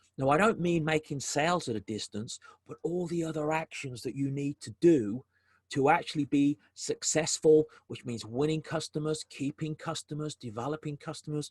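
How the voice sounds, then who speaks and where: The voice is somewhat breathy, with ordinary pitch variation and big swings in loudness. It runs at a moderate pace, and the sound is dry and close with no echo. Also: man, fairly high pitch for a man. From South Africa, Durban. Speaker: business development consultant, webinar presenter. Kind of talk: webinar presentation. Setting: video call webinar. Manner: hesitant, many fillers and repetitions.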